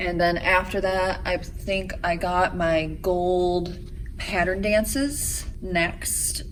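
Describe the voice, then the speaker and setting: Audible room echo and noticeable background noise surround this woman as she talks. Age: 30s. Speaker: vlogger and competitive figure skater. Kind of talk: casual vlog talk to camera. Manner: chatty, casual with fillers.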